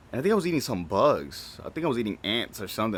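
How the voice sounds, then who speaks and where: A man talks at a fairly quick pace. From Dominican Republic, moved to US as child. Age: 20s. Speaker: podcast host. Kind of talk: casual solo podcast monologue. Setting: shed studio. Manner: casual, rambling with repetitions.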